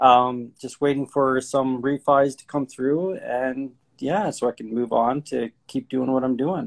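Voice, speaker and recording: Speaking at a fairly slow pace, a man with a medium pitch keeps his intonation fairly even while his loudness swings widely. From Ontario, Canada (Sarnia). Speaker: real estate investor. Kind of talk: podcast interview. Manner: hesitant, many fillers.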